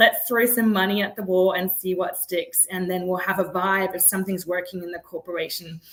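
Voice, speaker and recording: A woman at a medium pitch with a non-native accent, monotone and flat, fairly quick with hardly any pauses, over noticeable background noise. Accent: noticeable foreign. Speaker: startup founder and CEO. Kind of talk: interview. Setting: live video interview.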